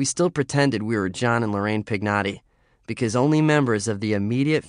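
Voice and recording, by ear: The clip is reading aloud in a natural voice.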